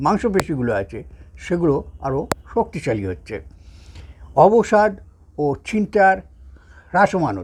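A man speaks with a high pitch and very wide pitch swings. His loudness swings widely too. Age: 70s. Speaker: yoga teacher. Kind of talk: lecture. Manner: halting.

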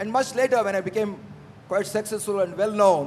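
Light background noise sits under a man with an Indian accent. He talks at a moderate pace with ordinary pitch variation. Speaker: aviation entrepreneur; speaker. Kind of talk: panel discussion. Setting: stage with audience. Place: hall. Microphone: handheld.

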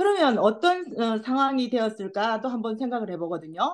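A woman at a high pitch, with very wide pitch swings and a moderate pace. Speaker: study group participant. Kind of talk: casual discussion. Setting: video call. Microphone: video call.

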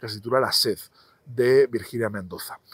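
A man at a moderate pace, against a quiet background, with dry sound and no echo. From Spain, Zaragoza; Spain. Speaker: novelist; interviewee. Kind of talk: interview monologue about his books. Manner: halting, many repetitions and fillers. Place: garden. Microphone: lapel.

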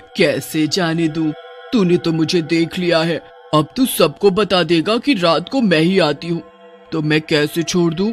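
Clear music plays behind a man doing a cartoonish character voice. His pitch sits high, and he keeps a moderate pace. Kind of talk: cartoon horror villain. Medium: audio drama. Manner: shouting, hungry; menacing, taunting.

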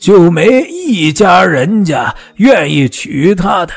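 Putting on a character voice, a man speaks slowly at a high pitch with big pitch swings, vocal fry and a slightly husky edge.

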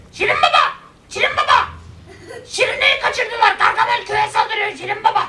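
A cartoonish character voice shouts at an extremely high pitch. The pace is moderate. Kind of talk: comic, cartoonish. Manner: shouting, panicked.

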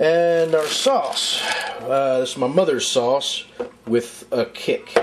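A man talks at a very slow pace amid noticeable background noise. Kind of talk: casual cooking vlog chat. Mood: relaxed, warm. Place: kitchen.

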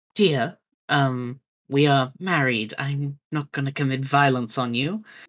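A put-on character voice, raspy and pitched low to middle. It moves at a fairly slow pace. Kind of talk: game master voicing NPC. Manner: calm, cool, dignified.

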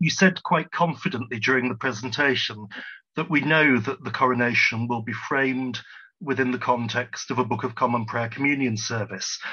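This man talks at a moderate pace with ordinary pitch variation. The background is quiet. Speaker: audience member asking questions; audience member. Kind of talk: audience Q&A. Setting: video call. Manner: formal. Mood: polite, thoughtful. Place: home room. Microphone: video call.

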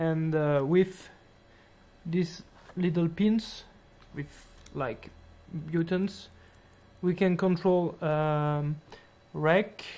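The pace is very slow. Long pauses come often. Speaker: hobbyist drone builder. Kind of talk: casual project demo to camera. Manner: hesitant. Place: home room.

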